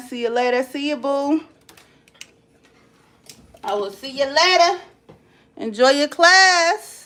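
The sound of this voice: A woman's high, fairly bright voice with ordinary pitch variation.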